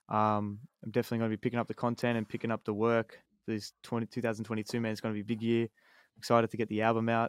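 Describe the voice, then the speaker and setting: Very fast, monotone male speech at medium pitch with flat intonation, a dry, close sound with no echo, and a very clean recording with a silent background. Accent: Australian. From Australia, Sydney. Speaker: hip-hop artist. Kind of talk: casual chat. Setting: home studio.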